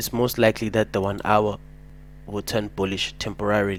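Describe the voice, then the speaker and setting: With monotone, flat intonation, the words come out at a moderate pace. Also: man. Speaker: forex trading educator. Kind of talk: trading tutorial. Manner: casual slangy.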